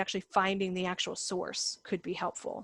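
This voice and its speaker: A woman with an unremarkable speaking voice talks at a medium pitch in a dry, close sound with no echo. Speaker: academic advisor. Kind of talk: online presentation Q&A. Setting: video call.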